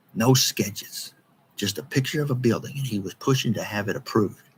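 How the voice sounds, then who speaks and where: At a moderate pace, a man with an American accent sounds somewhat breathy and shows ordinary pitch variation. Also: long, frequent pauses. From East Texas. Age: 60s. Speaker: local political commentator. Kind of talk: monologue video commentary. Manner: animated.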